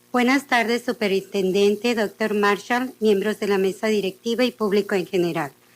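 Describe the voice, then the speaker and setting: A woman with a fairly high pitch speaks at a fairly quick pace with fairly even intonation. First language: Spanish. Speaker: parent committee member, public commenter. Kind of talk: public comment reading prepared statement.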